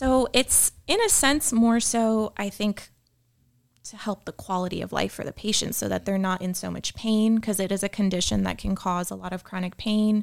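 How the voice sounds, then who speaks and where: On a very clean recording with a silent background, a woman with an ordinary speaking voice talks at a moderate pace with ordinary pitch variation. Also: medium pitch for a woman. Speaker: physician. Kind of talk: casual chat.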